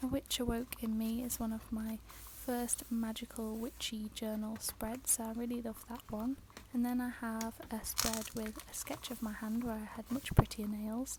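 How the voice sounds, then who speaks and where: Against noticeable background noise, a soft-spoken woman with a British accent talks at a moderate pace in a monotone, flat intonation at a fairly high pitch. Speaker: journaling craft youtuber. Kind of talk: ASMR journal flip-through tour.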